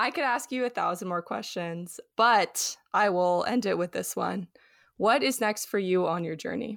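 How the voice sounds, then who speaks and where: A woman with an American accent has an unremarkable speaking voice at medium pitch, with lively intonation and a moderate pace. The recording is very clean, with a silent background. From Los Angeles. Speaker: podcast host. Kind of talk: interview.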